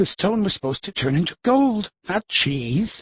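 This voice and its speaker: A man in a put-on character voice talks at a moderate pace, pitched high with very wide pitch swings. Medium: audio drama. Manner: genial, a little flustered.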